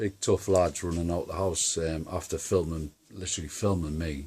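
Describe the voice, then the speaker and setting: A man's very deep, low voice, somewhat breathy, at a moderate pace, in a very clean recording with a silent background. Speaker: paranormal video maker. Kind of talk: casual monologue to camera. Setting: at home. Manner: halting.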